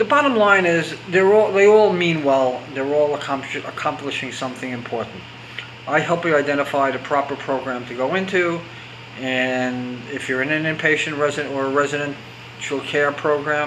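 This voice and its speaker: A man with a fairly high pitch, ordinary pitch variation and a moderate pace, with audible room echo and noticeable background noise. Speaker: recovery coach. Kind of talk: extemporaneous talk to camera. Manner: halting, with stammers and restarts; unscripted, conversational.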